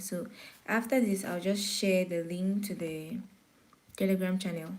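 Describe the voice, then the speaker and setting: In a room with audible echo, a woman speaks in a medium pitch, somewhat breathy, with fairly even intonation. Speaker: forex trading teacher. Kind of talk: live-streamed beginner class. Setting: YouTube live stream. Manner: pauses to catch breath.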